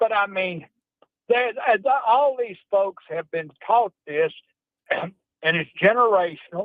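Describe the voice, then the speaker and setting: A man talks at a very slow pace. His pitch is high, with ordinary variation. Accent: Mississippi. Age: 70s. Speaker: caller. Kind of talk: call-in chat. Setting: phone call from car.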